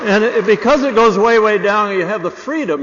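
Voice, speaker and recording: Lively in intonation, a man talks at a fairly quick pace against noticeable background noise. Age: 70s. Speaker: award recipient. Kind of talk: acceptance speech. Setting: stage with audience. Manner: casual, with many fillers.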